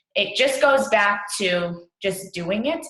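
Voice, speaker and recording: A woman with a bright, sharp tone. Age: 20s. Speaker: fitness coach. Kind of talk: team training talk.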